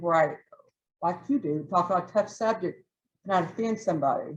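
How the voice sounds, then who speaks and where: A woman talks at a fairly quick pace. She has a Southern accent. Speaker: toastmasters club member giving a speech. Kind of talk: prepared club speech.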